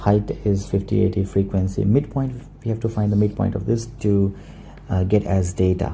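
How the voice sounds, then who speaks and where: A man speaks in a very deep, low voice with a dark, mellow tone and a somewhat breathy quality. His pace is moderate and his pitch varies in an ordinary way. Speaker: maths tutor. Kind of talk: tutorial. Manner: hesitant with many fillers.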